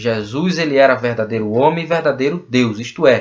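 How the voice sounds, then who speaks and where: A man uses an ordinary speaking voice, pitched at medium with ordinary pitch variation. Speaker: bible teacher. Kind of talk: lecture.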